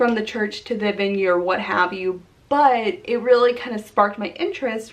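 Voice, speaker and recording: A woman's plain, everyday voice, fairly high in pitch, with ordinary pitch variation and a moderate pace. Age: 20s. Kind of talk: casual talk to camera.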